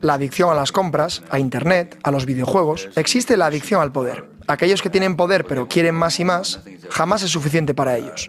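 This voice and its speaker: A man talks at a fairly quick pace in a fairly high pitch, with ordinary pitch variation. He has an unremarkable speaking voice. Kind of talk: documentary dub.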